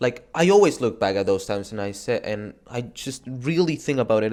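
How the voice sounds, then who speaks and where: Delivery is fairly quick with hardly any pauses and lively intonation. The recording is very clean, with a silent background. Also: man. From Argentina. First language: Spanish. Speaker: gaming YouTuber. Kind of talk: motivational talk to camera. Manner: casual, halting with false starts.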